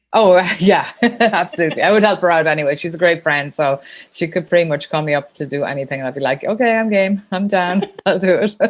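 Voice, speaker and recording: With an Irish accent, a woman talks at a very fast pace, her pitch fairly low and its variation ordinary. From Ireland. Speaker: sponsorship consultant. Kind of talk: podcast interview.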